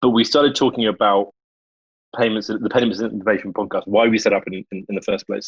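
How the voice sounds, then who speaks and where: Recorded with a dry, close sound and no echo, a man speaks with a British accent. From London, England. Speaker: podcast host. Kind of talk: casual podcast chat.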